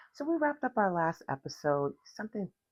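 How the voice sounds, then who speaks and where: A woman is speaking. Her pace is moderate. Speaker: podcast host and vocal coach. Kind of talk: instructional podcast talk. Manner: casual, conversational with fillers.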